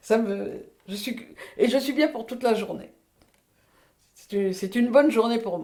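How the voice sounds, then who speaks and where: A woman speaks at a fairly high pitch with a dark, mellow tone and big swings in loudness. Long, frequent pauses and audible room echo fill the clip. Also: ordinary pitch variation, fairly slow pace. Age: 80s+. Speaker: retired midwife. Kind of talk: testimony. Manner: halting.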